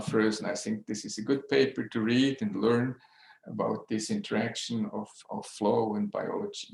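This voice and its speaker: A man of medium pitch speaks with a Swiss accent and fairly even intonation. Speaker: neuroradiologist. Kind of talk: lecture. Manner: slow; halting.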